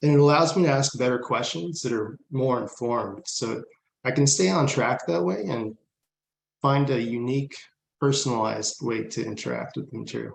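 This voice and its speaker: At a moderate pace, a man with an American accent talks in a normal speaking voice. His pitch is medium with ordinary variation. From Southern California. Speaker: student panelist. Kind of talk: conference panel on video call. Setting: video call.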